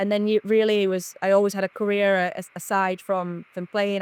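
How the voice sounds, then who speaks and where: In a dry, close sound with no echo and a very clean recording with a silent background, a woman speaks at a very fast pace in a monotone, flat intonation. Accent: northern English. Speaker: football club managing director. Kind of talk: podcast interview.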